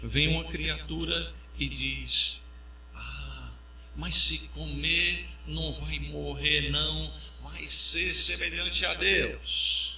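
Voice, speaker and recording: The recording carries audible room echo. Noticeable background noise sits underneath. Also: man. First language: English (speaking Portuguese). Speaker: pastor. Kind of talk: sermon.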